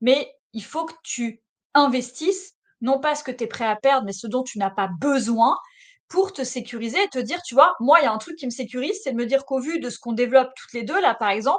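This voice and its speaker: A woman speaks at a high pitch and moderate pace in an animated tone with lively intonation, against a quiet background. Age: 40s. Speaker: financial advisor. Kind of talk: casual chat.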